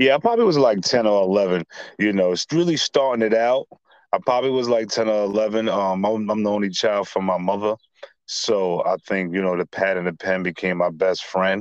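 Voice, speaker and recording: In a New York accent, a man speaks at a moderate pace with a fairly low pitch and ordinary pitch variation, the sound dry and close with no echo. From Staten Island, New York. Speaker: rapper. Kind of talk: casual interview.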